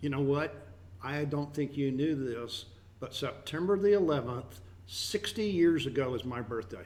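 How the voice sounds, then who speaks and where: A man talks in a plain, everyday voice at a fairly high pitch. His intonation is lively and his pace moderate. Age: 50s. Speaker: radio host. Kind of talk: broadcast show chat.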